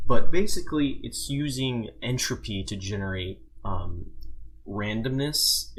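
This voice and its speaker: Mumbling at a fairly slow pace, a man speaks. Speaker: tech tutorial maker. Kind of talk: screen-recorded software tutorial. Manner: mumbling, casual.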